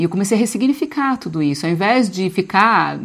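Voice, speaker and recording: Over a quiet background, a woman with a plain, everyday voice speaks at a medium pitch with lively intonation. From Brazil, small inland town. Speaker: spiritual coach. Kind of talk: live group session on spiritual growth. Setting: video call. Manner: casual, conversational.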